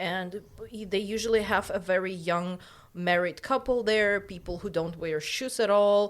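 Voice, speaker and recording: Words come fairly slowly, and the intonation stays fairly even. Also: woman, medium pitch for a woman. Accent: Russian. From Uzbekistan. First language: Russian. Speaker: podcast co-host. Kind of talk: casual chat. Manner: halting.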